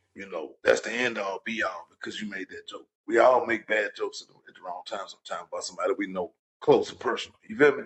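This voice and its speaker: Speaking with an American accent, a man goes at a very fast pace. He leaves hardly any pauses. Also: big swings in loudness. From Louisiana. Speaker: podcast co-host. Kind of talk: casual chat.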